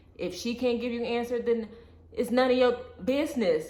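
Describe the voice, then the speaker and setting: A woman speaks in a high voice. Noticeable background noise runs underneath. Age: 20s. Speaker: vlogger, single mother. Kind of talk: casual talk to camera. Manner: candid, animated.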